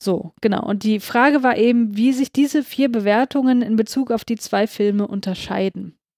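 The voice has a dark, mellow tone and ordinary pitch variation at a moderate pace. The sound is dry and close, with no echo. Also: woman. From Hamburg, northern Germany. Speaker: podcast co-host. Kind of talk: casual chat.

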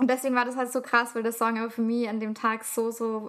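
Her pitch sits fairly high for a woman. The intonation stays monotone and flat. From Austria, city of Salzburg. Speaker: podcast co-host. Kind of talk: casual chat.

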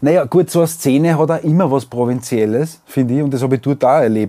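A man with a dark, mellow tone speaks at a fairly quick pace with ordinary pitch variation. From Austria, Weinviertel. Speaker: singer-songwriter and podcast host. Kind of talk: casual chat.

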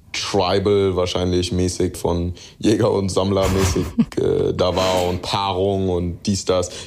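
A man speaks in a very deep, low pitch. His pace is fairly slow and his intonation monotone and flat. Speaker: rapper. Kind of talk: interview. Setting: remote call. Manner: mixes in English phrases.

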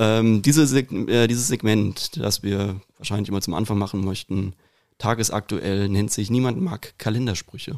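In a very clean recording with a silent background, a man speaks in a normal speaking voice at a fairly low pitch, with ordinary pitch variation and a moderate pace. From Hesse, Rüsselsheim. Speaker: podcast host. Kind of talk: casual chat; quote reading.

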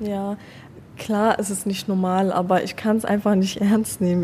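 A woman at a medium pitch speaks in a monotone with flat intonation and a dark, mellow tone. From Germany (Afghan family, born in Iran). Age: young. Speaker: student. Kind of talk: casual chat. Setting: café in front of a cinema.

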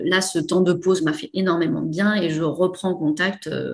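At a moderate pace, a woman talks in a fairly low pitch with fairly even intonation. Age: 40s. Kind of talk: casual interview. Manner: hesitant, many fillers.

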